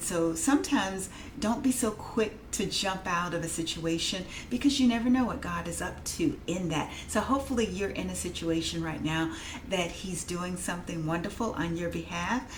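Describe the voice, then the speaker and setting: Through noticeable background noise and audible room echo, a woman speaks in a fairly low voice with lively intonation. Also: moderate pace. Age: 50s. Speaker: vlogger and technical writer. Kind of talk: casual vlog monologue. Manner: hesitant with many fillers.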